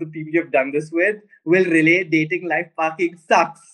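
The man's voice sits high in pitch, with fairly even intonation. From India, Pune. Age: 20s. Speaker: social media content creator. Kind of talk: interview.

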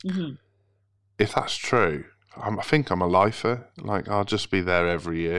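In a very clean recording with a silent background, a plain, everyday voice speaks at a moderate pace with lively intonation. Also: man, fairly low pitch for a man. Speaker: podcast host. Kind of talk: casual interview chat.

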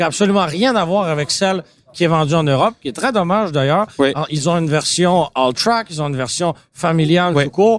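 A man talks fairly quickly at a high pitch. His pitch varies in an ordinary way. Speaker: car podcast host. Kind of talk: casual chat. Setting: auto show floor with public.

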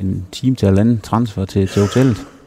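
A man talks at a fairly slow pace, his fairly low voice dark and mellow in tone. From Denmark, Herning (Jutland). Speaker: former professional cyclist. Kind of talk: interview. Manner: halting, many repetitions.

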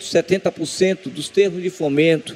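A man talks in a high voice, and noticeable background noise can be heard. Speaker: government culture official. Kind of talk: interview. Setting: outdoor festival event.

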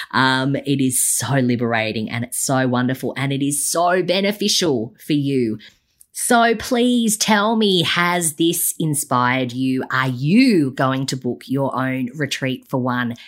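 A woman with an Australian accent, very deep and low, lively in intonation, at a fairly slow pace with hardly any pauses, on a very clean recording with a silent background. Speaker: business coach podcast host. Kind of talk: solo podcast monologue. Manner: many fillers and restarts.

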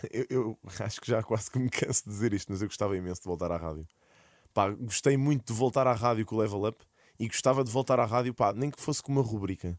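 The speech runs at a very fast pace with ordinary pitch variation, in a dry, close sound with no echo. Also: man, medium pitch for a man. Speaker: streamer and content creator. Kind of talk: casual chat.

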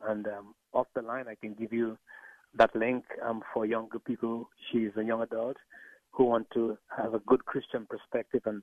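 A man's medium-pitched voice in a Caribbean accent, monotone and flat, at a fairly slow pace. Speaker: pastor. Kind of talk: radio interview.

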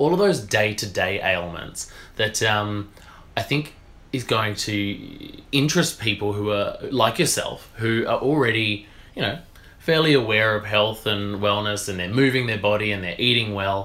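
A man speaks with an Australian accent at a fairly low pitch. His pitch varies in an ordinary way. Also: moderate pace. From rural Western Australia. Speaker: naturopath and media presenter. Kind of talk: casual interview.

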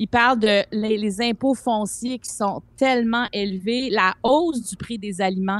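A woman with a plain, everyday voice and a fairly high pitch speaks at a fairly slow pace with ordinary pitch variation. Her loudness swings widely, and the sound is dry and close with no echo. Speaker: columnist. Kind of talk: casual chat.

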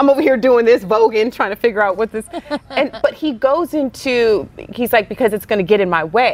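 Over noticeable background noise, a woman talks at a fairly quick pace in an animated tone, with fairly high pitch and ordinary pitch variation. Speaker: podcast host. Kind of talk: casual chat.

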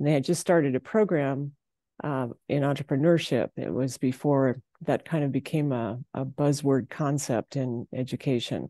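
A woman with an Upper Midwest accent, very deep, low pitch, dark, mellow tone, ordinary pitch variation, and moderate pace, in dry, close sound with no echo and a quiet background. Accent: Upper Midwest American. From South Dakota, Kimball. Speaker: farmer, rancher and entrepreneur. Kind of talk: interview.

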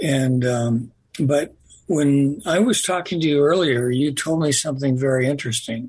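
A man talks at a moderate pace in a fairly high, somewhat breathy voice. His loudness stays very even. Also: ordinary pitch variation. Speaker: radio host. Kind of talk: radio interview. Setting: studio.

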